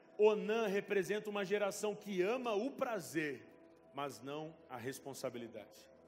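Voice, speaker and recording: Against music in the background, a man speaks in an animated tone at a high pitch with lively intonation. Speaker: pastor. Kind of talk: sermon.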